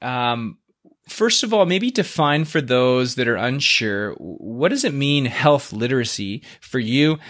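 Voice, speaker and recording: In a very clean recording with a silent background, a man with a plain, everyday voice and medium pitch speaks at a fairly slow pace with lively intonation. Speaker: podcast host. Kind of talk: interview conversation.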